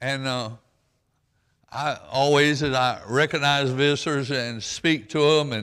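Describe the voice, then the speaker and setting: In a Southern US accent, a man speaks at a fairly slow pace with a fairly high pitch. His tone is bright and sharp, and the recording is very clean with a silent background. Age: 80s+. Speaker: pastor. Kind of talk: sermon. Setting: church with congregation. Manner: folksy, halting.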